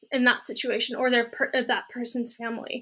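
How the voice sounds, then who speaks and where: A woman projects a raised voice, high-pitched with a bright, sharp tone. The recording is very clean, the background silent. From Germany. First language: German. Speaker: astrophysics PhD candidate and software engineer. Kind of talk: Q&A interview. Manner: hesitant, many fillers.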